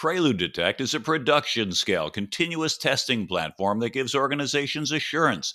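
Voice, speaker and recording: Over a silent background in a very clean recording, a man with a bright, sharp tone and vocal fry talks at a fairly quick pace with very wide pitch swings. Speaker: podcast host. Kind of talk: interview.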